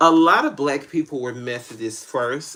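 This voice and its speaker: His delivery is very fast. The man speaks with an American accent. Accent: country twang. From Tennessee, US South. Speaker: spiritual tarot reader. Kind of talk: live-stream reading answering viewer questions. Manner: casual, halting with false starts.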